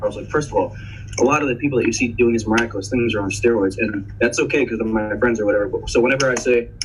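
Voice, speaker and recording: There is noticeable background noise. Through it, a man talks at a very fast pace. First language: Spanish. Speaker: Marine veteran and arm amputee. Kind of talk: casual podcast conversation. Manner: animated, many false starts and repeats.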